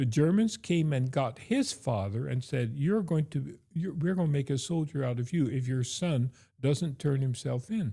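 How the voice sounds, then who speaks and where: With a fairly high pitch and a dark, mellow tone, a man speaks at a moderate pace, somewhat breathy, with lively intonation and very even loudness, in a very clean recording with a silent background. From Belgium. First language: Dutch/Flemish. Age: 70s. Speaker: theology professor. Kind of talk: testimony. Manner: halting, many fillers.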